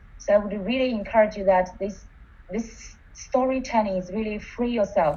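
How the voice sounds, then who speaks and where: Against noticeable background noise, a woman with a non-native accent speaks at a medium pitch with ordinary pitch variation. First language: not English. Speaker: coach. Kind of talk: webinar participant reflection. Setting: online webinar.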